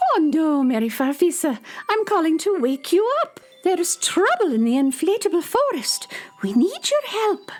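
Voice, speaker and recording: An extremely high, put-on character voice with very wide pitch swings at a moderate pace, music playing behind it. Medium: audio drama.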